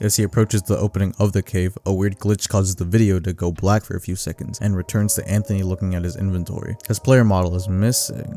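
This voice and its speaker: Music plays behind a man speaking at a very fast pace with hardly any pauses. His pitch is fairly low, and the sound is dry and close with no echo. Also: fairly even intonation. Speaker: video essay narrator. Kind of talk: ARG analysis narration.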